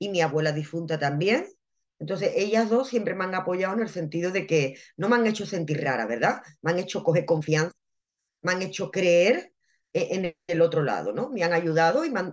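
With an unremarkable speaking voice, a woman talks at a moderate pace in a fairly low pitch, her intonation lively. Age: 30s. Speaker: medium and spiritual mentor. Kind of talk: interview. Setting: live video stream.

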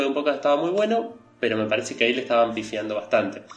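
Amid noticeable background noise and audible room echo, a man speaks at a very fast pace with a medium pitch and lively intonation. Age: 30s. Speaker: animation podcast co-host, multimedia designer. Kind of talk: casual chat.

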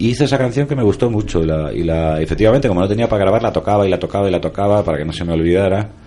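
This man has a dark, mellow tone and a fairly low pitch. He talks at a very fast pace with lively intonation and hardly any pauses. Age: 40s. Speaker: musician and writer. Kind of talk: interview.

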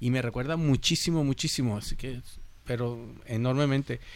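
A man at medium pitch, moderately paced, with fairly even intonation. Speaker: music podcast panelist. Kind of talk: casual chat.

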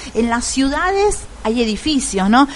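A woman at a fairly slow pace with lively intonation, over noticeable background noise. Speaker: radio host. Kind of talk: interview.

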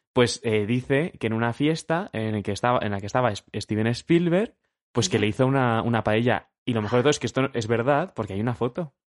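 A fairly quick pace and ordinary pitch variation over a quiet background. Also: man, medium pitch for a man, dry, close sound with no echo. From Madrid, Spain. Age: 20s. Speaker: podcast co-host. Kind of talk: casual chat.

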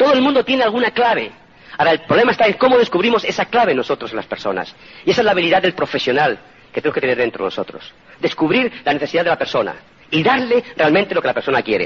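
Very fast pace and very wide pitch swings. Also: man, high pitch for a man. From Spain. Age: 50s. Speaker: motivational speaker. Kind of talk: motivational talk.

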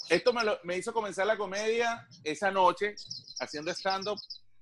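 A man talks at a moderate pace. His pitch sits high. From Venezuela. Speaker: comedian and voice impressionist. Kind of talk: casual chat.

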